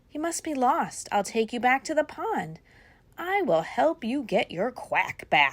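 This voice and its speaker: A female-sounding, put-on character voice, high in pitch with very wide swings, at a fairly slow pace. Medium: read story.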